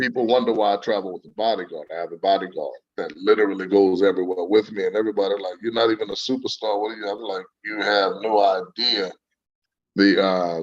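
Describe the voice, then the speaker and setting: In a New Orleans accent, a man talks at a very fast pace in a flat monotone, his loudness swinging widely. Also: fairly low pitch for a man. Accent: New Orleans Southern US. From US South, New Orleans. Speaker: singer and saxophonist. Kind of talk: interview. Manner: charming.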